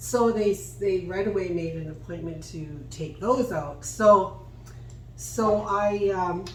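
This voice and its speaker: Over noticeable background noise and audible room echo, a woman at a medium pitch speaks at a very slow pace with ordinary pitch variation and big swings in loudness. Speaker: DIY furniture painting channel host. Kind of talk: casual chat while painting, tutorial.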